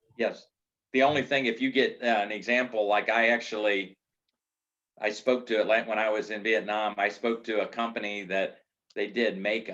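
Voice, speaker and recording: A man with a medium pitch keeps his intonation fairly even and his pace moderate. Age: 60s. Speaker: business consultant. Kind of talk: lecture. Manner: casual, halting.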